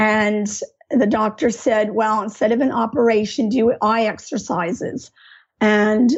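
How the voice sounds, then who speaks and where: Speaking at a moderate pace in a plain, everyday voice, a woman has a fairly high pitch and fairly even intonation. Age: 50s. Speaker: art teacher. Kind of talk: interview, personal story.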